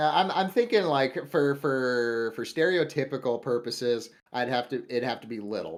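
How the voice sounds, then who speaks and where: A man's medium-pitched voice with a Midwestern US accent, ordinary pitch variation, a moderate pace and hardly any pauses. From US Midwest. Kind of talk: casual chat.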